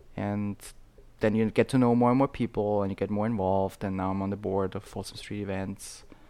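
A man with an Austrian accent speaks fairly quickly in a fairly low, dark, mellow voice with monotone, flat intonation. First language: German. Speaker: events board member and dancer. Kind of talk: casual chat.

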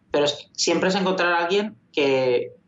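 At a moderate pace, this man speaks with ordinary pitch variation. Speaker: video game programmer. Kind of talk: interview.

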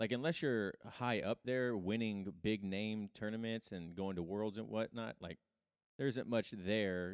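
An unremarkable speaking voice with ordinary pitch variation, on a very clean recording with a silent background and a dry, close sound with no echo. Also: man. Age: 40s. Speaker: podcast host and jiu-jitsu practitioner. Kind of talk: casual interview chat.

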